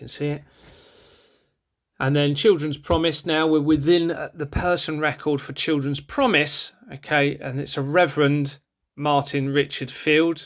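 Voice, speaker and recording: With fairly even intonation and big swings in loudness, a man speaks at a fairly high pitch, leaving long, frequent pauses. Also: very clean recording, silent background. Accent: southern English. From southern England, Bournemouth. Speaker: former police officer turned online campaigner. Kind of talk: screen-share video monologue. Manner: fast; hesitant with fillers.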